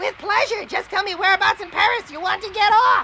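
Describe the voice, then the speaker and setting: Extremely high in pitch, a cartoonish character voice rattles along at a fairly quick pace against clear background noise. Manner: polite.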